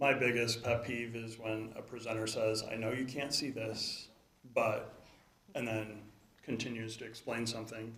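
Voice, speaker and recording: At a medium pitch and moderate pace, a man with an American accent talks in a monotone, flat intonation, with audible room echo. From Chicagoland, Illinois. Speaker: conference speaker. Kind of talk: conference talk.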